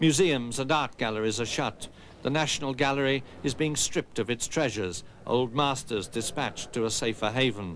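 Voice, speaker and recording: A man with an ordinary speaking voice, very even loudness, ordinary pitch variation and a moderate pace. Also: medium pitch for a man. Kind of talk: newsreel-style narration.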